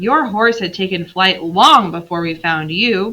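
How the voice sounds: Using a put-on character voice, a woman speaks huskily at medium pitch and a moderate pace with lively intonation.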